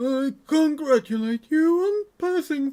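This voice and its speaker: A put-on character voice speaks at a high pitch and a fairly slow pace. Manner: formal, congratulatory.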